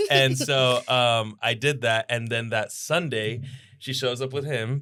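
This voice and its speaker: With an American accent, a man speaks fairly slowly at a medium pitch, in a bright, sharp tone with fairly even intonation. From Florida. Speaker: musician and producer. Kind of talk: casual chat. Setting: studio.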